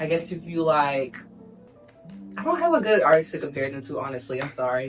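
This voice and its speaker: Over background music, a woman with a fairly low voice swings her pitch very widely. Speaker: lifestyle vlogger. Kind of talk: casual talk to camera.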